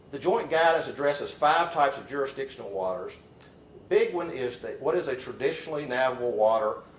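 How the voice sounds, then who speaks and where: A man speaks at a fairly quick pace in a room with audible echo. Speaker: lawyer. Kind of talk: lecture. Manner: halting, with fillers and repeats.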